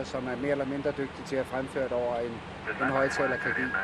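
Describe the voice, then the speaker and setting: A man with a fairly high voice talks while noticeable background noise continues. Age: 50s. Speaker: airline pilot. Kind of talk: casual conversation while working. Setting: airliner cockpit in flight.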